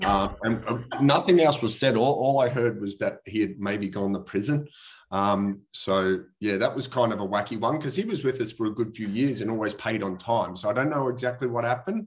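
A man with an Australian accent and a medium pitch talks at a fairly quick pace with ordinary pitch variation over a quiet background. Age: 40s. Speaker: property investor. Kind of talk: interview. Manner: casual.

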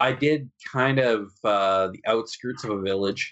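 Speaking very slowly with a Canadian accent, a man keeps a medium pitch and fairly even intonation. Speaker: wargaming podcast co-host. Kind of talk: casual chat.

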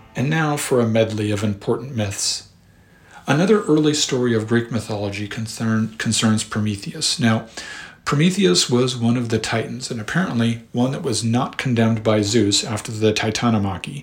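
A man's somewhat breathy voice, medium in pitch, at a moderate pace with ordinary pitch variation. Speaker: podcast host and history narrator. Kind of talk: history documentary narration, measured and lecture-like. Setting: studio podcast recording. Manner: formal, measured, scholarly; even-paced and explanatory.

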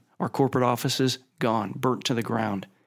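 In a very clean recording with a silent background, a man with an ordinary speaking voice holds a medium pitch and fairly even intonation. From Ohio, Youngstown. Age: 50s. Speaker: company chairman. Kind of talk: interview.

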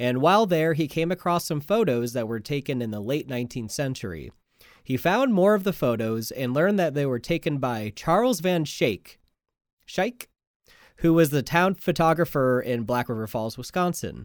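With an unremarkable speaking voice, a man talks at a moderate pace with lively intonation and a fairly high pitch. The recording is very clean, with a silent background. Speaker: podcast host. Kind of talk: casual banter podcast chat.

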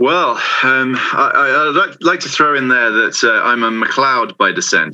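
A man's speech moves at a moderate pace. He has an English accent. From southern England. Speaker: language consultant. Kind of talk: interview. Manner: hesitant, many fillers.

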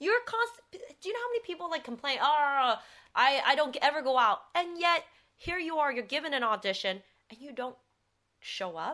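Raised and projected, the voice has a bright, sharp tone and very wide pitch swings, moving at a fairly quick pace over a quiet background. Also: woman. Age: 30s. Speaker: actress. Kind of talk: casual chat.

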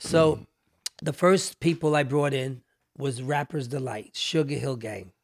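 A man with a New York accent, fairly high in pitch with ordinary pitch variation and big swings in loudness, at a fairly slow pace in a very clean recording with a silent background. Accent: New York (Bronx). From New York City, South Bronx. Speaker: music executive. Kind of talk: casual interview chat.

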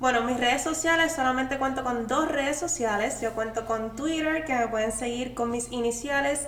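Audible room echo surrounds a woman with a high pitch. Her pitch variation is ordinary. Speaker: podcast guest, content creator. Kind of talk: casual chat.

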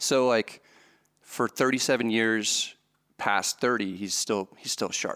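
In a very clean recording with a silent background, a man with a medium pitch speaks very slowly in a bright, sharp tone with fairly even intonation. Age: 30s. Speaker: poker vlogger. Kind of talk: interview.

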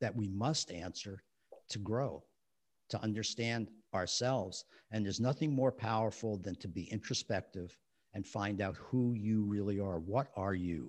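A man with an American accent talks at a moderate pace with ordinary pitch variation, in a plain, everyday voice. The background is quiet. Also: fairly low pitch for a man. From New Jersey, West New York. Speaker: author and relationship counselor. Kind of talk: interview conversation.

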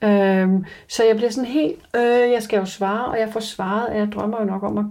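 At a moderate pace and with hardly any pauses, a woman speaks in a fairly high pitch, with a dark, mellow tone and fairly even intonation. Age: 30s. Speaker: reality TV survival contestant. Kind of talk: interview. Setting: in person with host.

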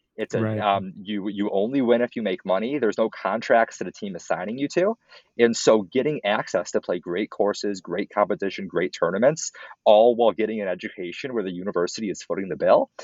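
A man with an American accent speaks in an ordinary speaking voice at a fairly low pitch. He keeps a fairly quick pace with ordinary pitch variation. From Minnesota, Minneapolis. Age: 20s. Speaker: college student and entrepreneur. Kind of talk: interview.

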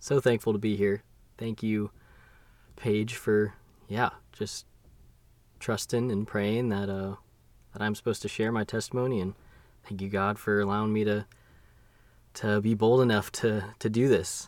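An American-accented man with a fairly low pitch speaks in a monotone at a moderate pace with long, frequent pauses, on a very clean recording with a silent background. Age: 20s. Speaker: podcast host's husband sharing testimony. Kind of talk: testimony. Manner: halting.

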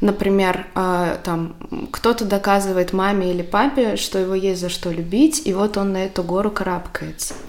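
A woman's medium-pitched voice at a moderate pace, with ordinary pitch variation, over noticeable background noise. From Belarus, Minsk. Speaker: personal branding consultant. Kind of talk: casual chat. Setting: kitchen, in person.

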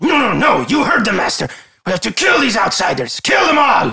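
Shouting in a raspy, put-on character voice, a man pitches extremely high for a man and moves at a fairly quick pace. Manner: menacing.

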